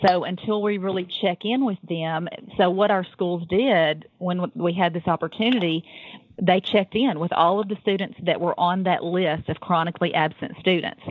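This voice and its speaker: A moderate pace and ordinary pitch variation, with a Tennessee accent. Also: woman, medium pitch for a woman. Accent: Southern US (Tennessee). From US South. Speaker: public school program coordinator. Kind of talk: podcast interview. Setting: phone call.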